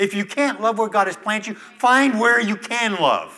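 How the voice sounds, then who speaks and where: Speaking with an American accent, a man uses a raised, projected voice with a high pitch. His pace is moderate, and his intonation is fairly even. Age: 60s. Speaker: retired pastor. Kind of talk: sermon. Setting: church.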